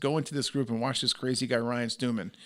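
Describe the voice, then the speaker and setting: With an American accent, a man talks at a medium pitch with vocal fry on a very clean recording with a silent background. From New York. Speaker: entrepreneur and author. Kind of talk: podcast interview. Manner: loud; animated.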